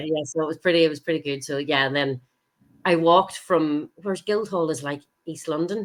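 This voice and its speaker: The speaker talks at a fairly quick pace in a Northern Irish accent. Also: woman, very deep, low pitch for a woman, ordinary pitch variation. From Northern Ireland. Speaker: stage actress. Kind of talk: podcast interview answer. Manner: enthusiastic.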